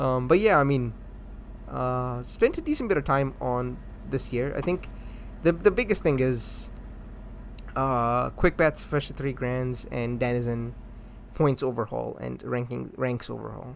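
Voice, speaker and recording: At a fairly slow pace, a man speaks. He leaves long, frequent pauses. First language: Hindi. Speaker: gaming community organizer. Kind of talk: casual chat.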